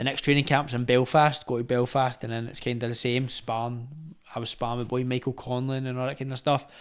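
With a Glaswegian accent, a man rattles along at a very fast pace in a flat monotone, hardly pausing at all. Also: quiet background. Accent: Glaswegian Scottish. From Glasgow, Scotland (Gorbals); Glasgow. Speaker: retired professional boxer; podcast guest. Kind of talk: casual chat. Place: home room. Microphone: studio mic.

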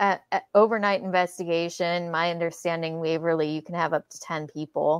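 A woman with a Californian accent speaks at a fairly quick pace with hardly any pauses, her fairly low voice moving in fairly even intonation while her loudness swings widely, all in a dry, close sound with no echo. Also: quiet background. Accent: General American (California). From San Francisco Bay Area, California. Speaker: paranormal investigator. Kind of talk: casual chat.

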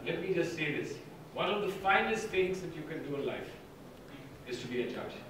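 Strong room echo surrounds a man's voice, with noticeable background noise behind it. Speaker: guest lecturer. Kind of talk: lecture. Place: hall. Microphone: podium.

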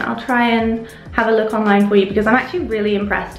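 A woman's voice in audible room echo with faint music in the background. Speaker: home vlogger. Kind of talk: casual vlog chat. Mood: cheerful, chatty. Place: bathroom. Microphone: phone near.

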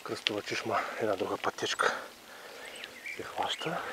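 Over loud background noise, a man speaks at a fairly slow pace, with a dry sound and no echo. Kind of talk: casual vlog commentary. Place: bicycle. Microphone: phone near.

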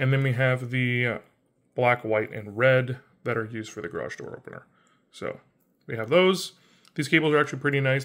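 A man against a quiet background. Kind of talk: tutorial. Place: home room. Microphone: phone near.

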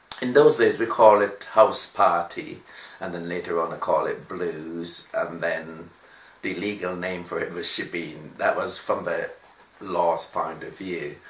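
A man talks at a fairly slow pace, with big swings in loudness. Light background noise and audible room echo are present. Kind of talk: interview answer. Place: home room. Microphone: camera far.

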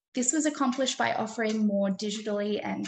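A woman speaks at a fairly quick pace. Light background noise sits behind her. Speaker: game studies researcher. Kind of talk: conference presentation. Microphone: webcam.

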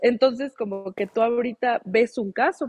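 The sound is dry with no echo as a woman speaks with ordinary pitch variation. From Mexico. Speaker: lawyer. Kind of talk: live talk show interview. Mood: earnest, firm. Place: home room. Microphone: video call.

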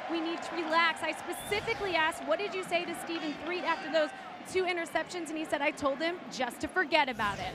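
A woman's raised, projected, extremely high voice at a very fast pace, with ordinary pitch variation, a dry sound with no echo and clear music in the background. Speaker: sideline reporter. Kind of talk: sideline interview and report. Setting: stadium sideline. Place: stadium. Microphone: handheld.

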